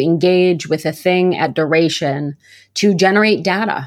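A woman with an ordinary speaking voice, fairly low in pitch, ordinary pitch variation, at a moderate pace. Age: 30s. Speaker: author and university lecturer. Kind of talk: interview. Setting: remote recording.

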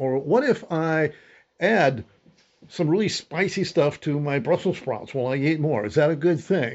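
Lively intonation marks a man's fairly high-pitched voice at a moderate pace. It is an unremarkable speaking voice. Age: 60s. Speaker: fitness group leader, retiree. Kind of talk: interview.

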